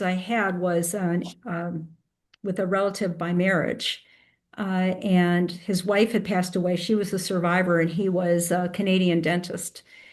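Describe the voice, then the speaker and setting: There is audible room echo. A woman talks at a medium pitch and a moderate pace. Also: fairly even intonation. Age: 70s. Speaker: genealogy lecturer. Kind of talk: q&a discussion after a lecture.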